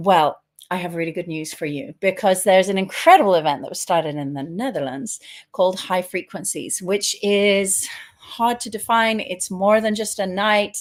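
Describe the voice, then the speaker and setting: A woman with a British accent speaks at a moderate pace in a medium pitch, her intonation lively. Her loudness swings widely, and the recording is very clean with a silent background. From Britain. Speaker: tantra teacher and host. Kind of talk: casual interview.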